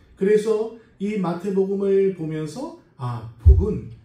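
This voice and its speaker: A man with a non-native accent talks at a high pitch. Room echo is audible. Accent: non-native Korean, self-described weak Korean. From South America (emigrated from Korea at six). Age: 40s. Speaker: pastor, Bible school lecturer. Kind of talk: sermon. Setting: church service. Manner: hesitant, many fillers.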